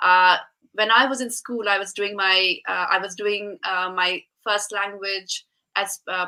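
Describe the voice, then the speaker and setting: Her tone bright and sharp, a woman talks at a fairly slow pace with medium pitch and fairly even intonation. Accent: Bengali. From India (Shillong, northeast). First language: Bengali. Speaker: speech and language therapist, programme presenter. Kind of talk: casual interview chat.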